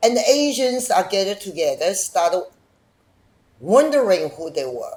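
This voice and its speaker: Her speech carries a non-native accent. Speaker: documentary filmmaker. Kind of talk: interview. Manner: animated.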